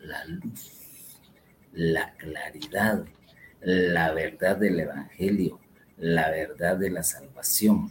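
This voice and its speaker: Somewhat breathy, a man talks at a very slow pace. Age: old. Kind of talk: religious teaching talk.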